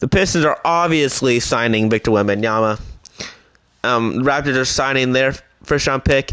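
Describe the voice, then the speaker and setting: A man with a medium pitch uses a normal speaking voice with ordinary pitch variation. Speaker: gaming YouTuber. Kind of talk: gameplay commentary.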